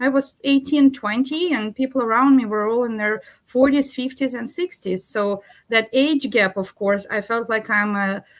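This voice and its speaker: A woman with a Russian accent, high pitch and ordinary pitch variation, at a moderate pace on a very clean recording with a silent background. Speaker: executive coach. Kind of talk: panel discussion.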